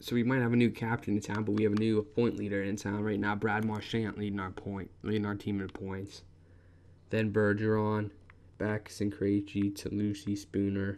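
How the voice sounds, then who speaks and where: A man talks in a fairly low pitch. His intonation is monotone and flat. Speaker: video game commentator. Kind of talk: gameplay commentary. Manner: fast.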